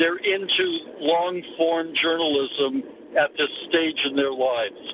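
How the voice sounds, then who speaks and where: With ordinary pitch variation, the man speaks at a high pitch as noticeable background noise continues behind him. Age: old. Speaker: journalism professor. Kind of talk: interview.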